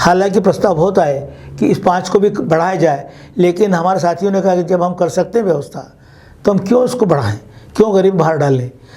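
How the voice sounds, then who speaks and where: This man's voice is high in pitch, with ordinary pitch variation. He speaks at a moderate pace. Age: 80s+. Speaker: doctor and senior citizens' association organiser. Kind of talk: interview answer.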